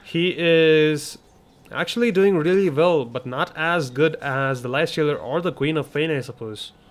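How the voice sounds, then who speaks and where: A fairly high-pitched man with a non-native accent, moderate pace and ordinary pitch variation. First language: not English. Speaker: esports commentator. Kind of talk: live commentary.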